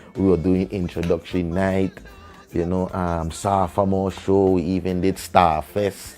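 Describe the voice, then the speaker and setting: A man with a very deep, low pitch and a Virgin Islands accent, music in the background. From US Virgin Islands, Saint Thomas. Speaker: reggae artist. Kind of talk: interview storytelling. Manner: animated.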